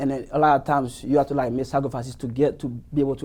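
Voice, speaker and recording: A man speaks at a very fast pace in a dark, mellow tone. His intonation stays monotone and flat. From Haiti. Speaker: marketing student. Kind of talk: interview.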